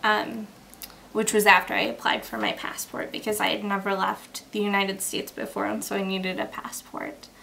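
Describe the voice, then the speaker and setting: Over noticeable background noise, a woman with an American accent talks at a medium pitch. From Michigan, US. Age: 20s. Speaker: student. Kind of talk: interview answers. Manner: hesitant, many ums.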